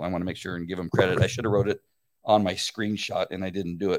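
A man speaks with a Californian accent. The recording is very clean, with a silent background. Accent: Californian American English. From Southern California (La Mirada). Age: 60s. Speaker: podcast host, former police officer. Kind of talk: live-streamed solo talk. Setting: live video stream.

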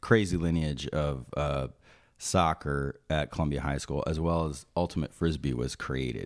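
Recorded very cleanly against a silent background, a man with a very deep, low voice talks at a moderate pace with fairly even intonation. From New Jersey (Maplewood). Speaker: musician. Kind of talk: casual chat.

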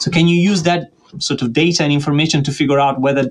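Using fairly even intonation, a man speaks at a fairly quick pace with a fairly high pitch. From Italy (Tuscany, Florence). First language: Italian. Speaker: statistics professor. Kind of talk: interview.

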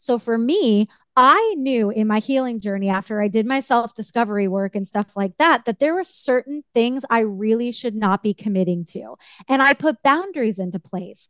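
Here is a woman with an ordinary speaking voice. She speaks at a moderate pace with lively intonation. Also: fairly high pitch for a woman. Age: 40s. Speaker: life coach and author. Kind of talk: interview.

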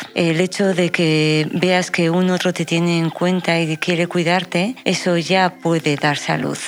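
A woman speaks in a fairly low pitch at a fairly slow pace, with hardly any pauses. Her intonation is monotone and flat, and her loudness stays very even. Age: old. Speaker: family doctor. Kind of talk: radio panel discussion.

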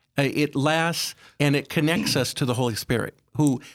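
In an unremarkable speaking voice, a man with an American accent talks at a fairly high pitch with lively intonation. The recording is very clean, with a silent background. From South Dakota, US Midwest. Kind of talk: religious radio interview. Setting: studio.

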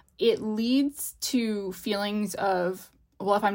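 A woman's normal speaking voice with ordinary pitch variation. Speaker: linguist and research scientist. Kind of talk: casual chat.

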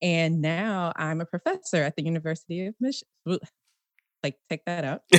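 A woman with an American accent and a fairly low pitch, in an unremarkable speaking voice, at a moderate pace with ordinary pitch variation, in a dry, close sound with no echo. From Washington D.C. and Prince George's County, Maryland. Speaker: engineering professor. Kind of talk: casual interview. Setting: video call.

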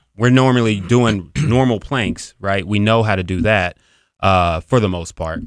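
An unremarkable speaking voice with an American accent moves at a fairly slow pace with ordinary pitch variation, on a very clean recording over a silent background. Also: man, fairly low pitch for a man. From US Midwest, Cincinnati, Ohio. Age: 40s. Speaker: fitness trainer. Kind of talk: casual interview. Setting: studio.

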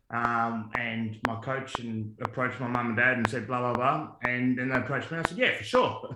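A man with an Australian accent, medium-pitched, at a fairly quick pace with hardly any pauses, fairly even intonation and noticeable background noise. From Tasmania, Australia. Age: 40s. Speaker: former football player. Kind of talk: casual interview.

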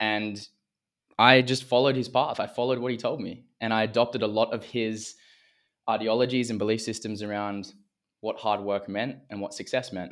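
On a very clean recording with a silent background, a man with an Australian accent speaks fairly quickly in a monotone, flat intonation. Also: medium pitch for a man. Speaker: men's coach, former semi-pro athlete. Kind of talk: interview conversation.

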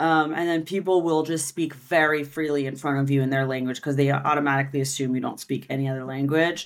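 A woman speaks with a very deep, low pitch and monotone, flat intonation. Her pace is very fast, with hardly any pauses. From United States. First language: French. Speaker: marketing agency founder and SEO expert. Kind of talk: casual interview chat. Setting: video call from Barcelona.

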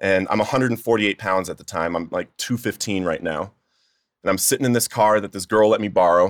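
A man's fairly low voice, a plain, everyday voice, with fairly even intonation. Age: 30s. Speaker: author in addiction recovery. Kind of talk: testimony. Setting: studio.

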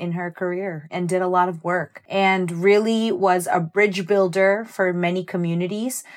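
Hardly pausing, a woman with a New Jersey accent talks at a moderate pace and medium pitch with fairly even intonation. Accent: New Jersey American. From New Jersey, Jersey Shore. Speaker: dancer and choreographer. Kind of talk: casual chat.

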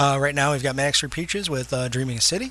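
A man speaks in an ordinary speaking voice with a fairly high pitch. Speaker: audio engineer and co-host. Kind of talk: casual chat. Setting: studio.

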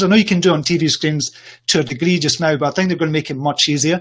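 A man's fairly high pitch with ordinary pitch variation and a Scottish accent. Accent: Scottish, noted by listener as appealing. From Scotland. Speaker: social media entrepreneur and coach. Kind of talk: interview on a livestream show. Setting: livestream video call.

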